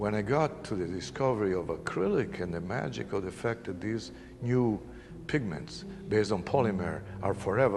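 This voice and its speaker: With an Italian accent, a man speaks in a fairly low pitch with lively intonation, and audible room echo surrounds him. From northern Italy. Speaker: painter. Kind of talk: interview.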